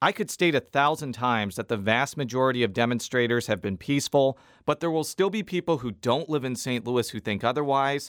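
A man with a plain, everyday voice speaks at a fairly quick pace in a medium pitch, his intonation lively. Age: 30s. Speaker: political reporter and podcast host. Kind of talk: scripted narration. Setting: studio.

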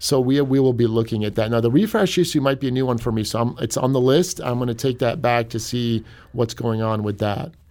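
A man with an American accent and an unremarkable speaking voice talks at a fairly quick pace and medium pitch, with hardly any pauses and ordinary pitch variation. The recording is very clean, with a silent background. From US Midwest, Cleveland, Ohio. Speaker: newspaper editor-in-chief. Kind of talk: radio interview. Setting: studio.

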